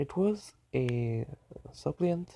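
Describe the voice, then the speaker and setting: Soft-spoken and somewhat breathy, a man talks at a medium pitch in a dark, mellow tone with lively intonation, in a dry, close sound with no echo. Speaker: fan fiction storyteller. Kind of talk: improvised story narration. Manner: halting.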